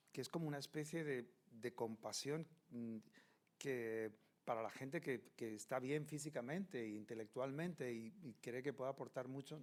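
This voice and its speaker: With a plain, everyday voice, a man talks at a moderate pace and ordinary pitch variation. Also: medium pitch for a man. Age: 60s. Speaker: panel moderator. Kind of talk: panel discussion.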